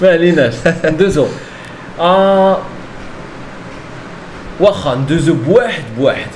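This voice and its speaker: A man's high-pitched voice with lively intonation, a very slow pace, long, frequent pauses and light background noise. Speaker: Darija teacher. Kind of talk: podcast conversation. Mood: friendly, smiling. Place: home room. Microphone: handheld.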